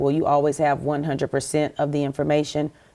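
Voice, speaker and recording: With a South Carolina accent, a woman talks in a very deep, low voice. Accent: Southern US (South Carolina). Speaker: TV network executive. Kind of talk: interview.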